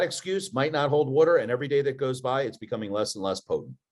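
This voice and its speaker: A man with a strong Philadelphia accent speaks with lively intonation. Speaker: podcast co-host, entrepreneur. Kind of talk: casual chat.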